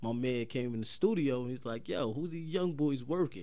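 A man with a medium pitch and a dark, mellow tone talks with ordinary pitch variation. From Paterson, New Jersey. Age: 30s. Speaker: rapper. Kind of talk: casual chat. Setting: studio.

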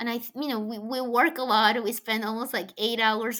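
A woman with a Colombian accent, fairly high pitch and a bright, sharp tone, on a very clean recording with a silent background. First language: Spanish. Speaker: venture capital investor. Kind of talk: interview. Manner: halting.

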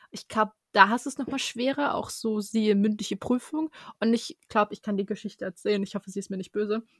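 A somewhat breathy woman's voice at a fairly high pitch, very fast pace, ordinary pitch variation and big swings in loudness, with a dry, close sound and no echo. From Germany. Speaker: podcast co-host, law student. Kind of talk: casual interview chat.

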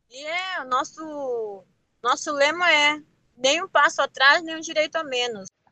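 Raised and projected, a woman's high-pitched voice has a bright, sharp tone and ordinary pitch variation, recorded dry and close with no echo. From Ilhabela, São Paulo coast, Brazil. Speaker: traditional fisherwoman. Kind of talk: interview testimony.

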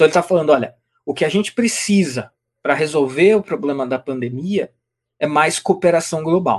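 A man with a normal speaking voice talks fairly quickly, his pitch fairly high and its variation ordinary. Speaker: co-host, book presenter. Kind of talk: casual chat. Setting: live stream.

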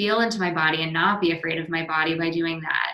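Her pitch fairly low, a woman talks with monotone, flat intonation. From New England. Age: 30s. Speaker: RTT practitioner and intuitive. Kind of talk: casual interview.

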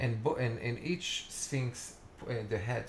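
The speech moves at a very slow pace. Its pitch varies in an ordinary way. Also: man. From Israel, Tiberias. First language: Hebrew. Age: 40s. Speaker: festival organizer. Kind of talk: casual interview. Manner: halting.

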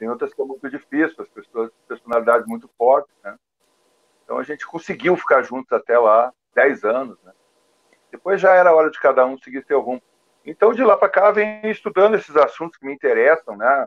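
A man talks at a fairly quick pace with a fairly high pitch. His pitch swings very widely and his loudness rises and falls in big swings. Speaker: rock drummer. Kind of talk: casual chat.

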